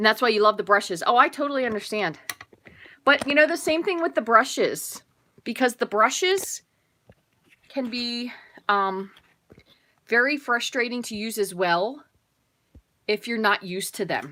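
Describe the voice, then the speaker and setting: Loud and bright with a sharp tone, a woman with a fairly high pitch talks at a moderate pace with lively intonation and long, frequent pauses. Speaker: paper craft demonstrator. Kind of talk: live craft tutorial. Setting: live stream with chat. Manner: tends to talk loud; casual, chatty.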